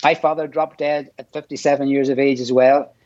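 Someone with an Irish accent talks at a very fast pace. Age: old. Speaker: amateur triathlete. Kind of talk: interview. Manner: halting.

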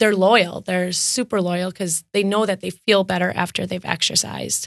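A woman speaks in a Wisconsin accent at a medium pitch. Her intonation is fairly even. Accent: Upper Midwest (Wisconsin). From Wisconsin, West Bend. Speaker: fitness studio owner. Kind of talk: interview.

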